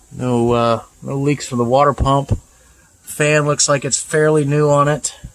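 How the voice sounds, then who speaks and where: This man's pitch is fairly high. His intonation stays monotone and flat. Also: fairly slow pace. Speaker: car reviewer. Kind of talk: walkaround car review. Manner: casual, hesitant with many fillers.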